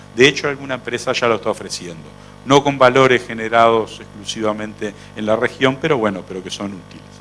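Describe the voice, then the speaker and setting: Over a very clean recording with a silent background, a man with a plain, everyday voice at medium pitch talks at a fairly quick pace, showing ordinary pitch variation and big swings in loudness. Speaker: veterinary researcher and professor. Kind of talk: conference lecture.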